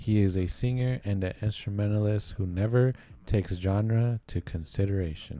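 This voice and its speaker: This man's dark, mellow tone moves at a moderate pace with ordinary pitch variation. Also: fairly low pitch for a man. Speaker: podcast host. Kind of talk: casual chat.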